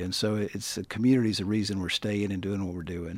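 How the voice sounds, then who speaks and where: Speaking with an American accent, a man uses a fairly low pitch and ordinary pitch variation. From Gainesville, Hall County, Georgia, US South. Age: 50s. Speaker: real estate attorney. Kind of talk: casual interview. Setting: radio studio.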